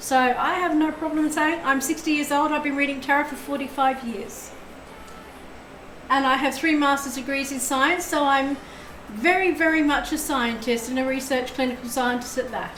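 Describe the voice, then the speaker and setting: A woman's high, fairly even voice at a moderate pace, amid noticeable background noise and audible room echo. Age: 60s. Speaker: tarot reader. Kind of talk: live stream tarot reading.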